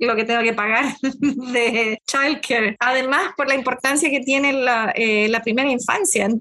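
The woman's tone is bright and sharp, with fairly even intonation. She talks at a fairly slow pace. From Chile, Concepción. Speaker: school counselor. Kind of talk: podcast interview.

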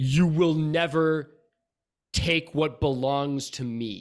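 Using a put-on character voice, a man shouts in booming tones at a very slow pace. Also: fairly high pitch for a man. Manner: booming, mocking, screaming.

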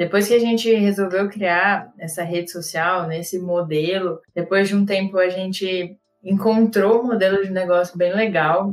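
Speech moves at a moderate pace with hardly any pauses. The intonation stays fairly even. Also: woman, medium pitch for a woman. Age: 20s. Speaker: product manager, former startup founder. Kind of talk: podcast interview.

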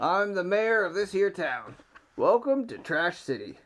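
In a raspy, put-on character voice at a middle pitch, the speaker moves at a moderate pace. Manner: folksy, welcoming.

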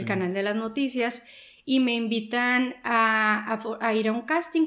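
This woman has a plain, everyday voice with a fairly high pitch and fairly even intonation. She speaks at a fairly slow pace on a very clean recording with a silent background. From Sonora, Mexico. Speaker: journalist and newspaper co-founder. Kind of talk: interview.

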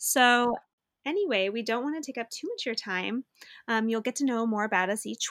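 A woman speaks in a normal speaking voice at a fairly high pitch, with ordinary pitch variation. The recording is very clean, with a silent background, and the sound is dry and close, with no echo. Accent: American. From Los Angeles, San Fernando Valley. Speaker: podcast co-host. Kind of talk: casual chat.

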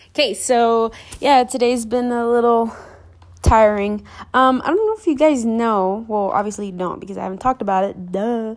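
Over music in the background, a woman talks at a moderate pace in a fairly high voice with ordinary pitch variation. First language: Spanish. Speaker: podcaster and small business owner. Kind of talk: casual vlog-style monologue. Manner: hesitant, many fillers.

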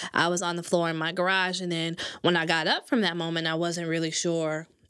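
A woman with an American accent speaks at a moderate pace in a bright, sharp tone, her fairly low pitch delivered in a monotone, flat intonation. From Michigan, Grand Rapids. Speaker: content writer. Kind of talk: casual chat. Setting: studio.

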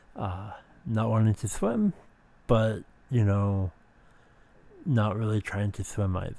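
A man speaks very slowly, with long, frequent pauses. His pitch is fairly low and his intonation fairly even. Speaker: podcast host. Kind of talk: personal monologue about mental health. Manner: halting, many fillers.

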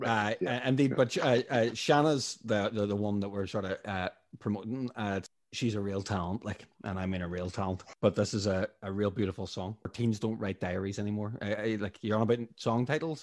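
A man with a Northern Irish accent speaks fairly quickly at a fairly low pitch. His pitch varies in an ordinary way on a very clean recording with a silent background. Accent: Northern Irish (Tyrone). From Northern Ireland, Strabane, County Tyrone. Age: 30s. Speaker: musician. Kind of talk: casual interview.

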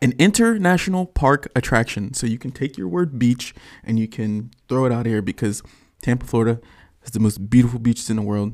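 A man with an ordinary speaking voice talks at a fairly quick pace, his medium pitch showing ordinary variation, in a very clean recording with a silent background. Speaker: medical student podcast host. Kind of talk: casual chat.

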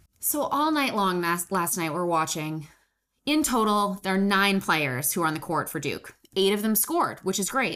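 On a very clean recording with a silent background, the voice moves at a moderate pace with an animated, bright, sharp tone and very wide pitch swings. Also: woman, medium pitch for a woman. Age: 20s. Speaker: sports podcast co-host. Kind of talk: casual chat.

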